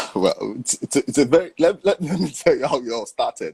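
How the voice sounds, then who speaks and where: A man speaks with a Nigerian accent. The sound is dry and close, with no echo. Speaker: voice actor. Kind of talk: interview answer.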